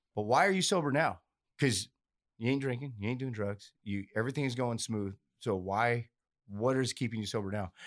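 Heard on a very clean recording with a silent background, a plain, everyday voice moves at a fairly quick pace with ordinary pitch variation. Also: man, medium pitch for a man. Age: 40s. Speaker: recovering addict, pipeliner and comedian. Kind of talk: casual chat.

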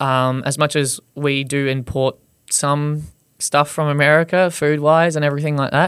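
This man has a fairly high pitch and an Australian accent. He talks at a fairly slow pace. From Australia, Gold Coast. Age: 20s. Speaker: content creator who wraps his car in Christmas paper. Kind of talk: casual interview.

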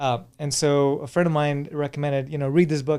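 A man speaks very fast in a fairly high voice with a dark, mellow tone. The recording is very clean, with a silent background. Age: 40s. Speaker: anti-aging expert. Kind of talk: casual chat. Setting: studio.

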